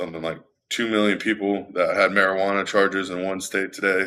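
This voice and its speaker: Bright and sharp in tone, a man with an American accent speaks in a very deep, low pitch and a monotone, flat intonation on a very clean recording with a silent background. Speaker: livestream news commentator. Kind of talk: live stream news commentary. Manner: fast.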